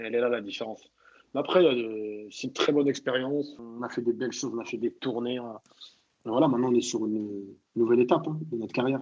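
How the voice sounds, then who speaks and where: Talking very fast, a man keeps to a medium pitch with ordinary variation. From France, Châteauroux (Moroccan family). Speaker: comedian. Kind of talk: casual chat. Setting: online audio room. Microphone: sound problem with his mic.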